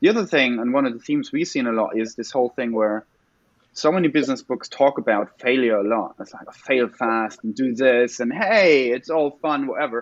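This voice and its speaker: A man talks at a fairly quick pace with a medium pitch. His is a plain, everyday voice with ordinary pitch variation. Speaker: podcast co-host. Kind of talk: casual podcast conversation.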